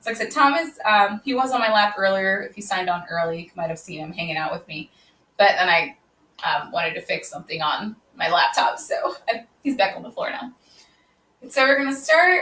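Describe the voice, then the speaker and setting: With a bright, sharp tone, a woman talks at a fairly quick pace, her pitch swinging very widely and her loudness rising and falling sharply. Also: medium pitch for a woman. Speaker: yoga instructor. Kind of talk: live online yoga class intro. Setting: livestream on social media from home. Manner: projects voice loudly; casual, chatty with fillers.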